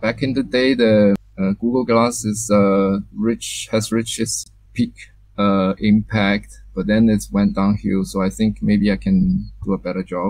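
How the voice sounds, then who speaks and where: The background is quiet and the sound dry, with no echo. A man speaks at a fairly slow pace. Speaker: guest. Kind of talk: presentation during interview. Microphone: video call.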